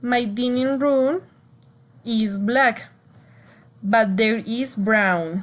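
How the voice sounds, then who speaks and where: Someone with a Spanish accent talks at a very slow pace with ordinary pitch variation. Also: woman. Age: 20s. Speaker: student. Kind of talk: class speaking assignment. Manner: halting.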